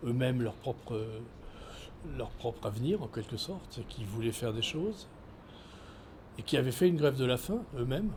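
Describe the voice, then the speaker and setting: Somewhat breathy and medium in pitch, a man talks at a moderate pace with lively intonation and long, frequent pauses. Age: 70s. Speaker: former pastor and migrant rights activist. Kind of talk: interview testimony. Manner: halting, many hesitations.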